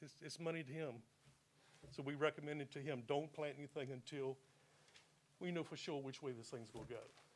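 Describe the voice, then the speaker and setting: A man with a Virginia accent at a very fast pace, with ordinary pitch variation. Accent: Southern US (Virginia). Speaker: landowner speaking at public hearing. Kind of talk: public hearing testimony. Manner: halting.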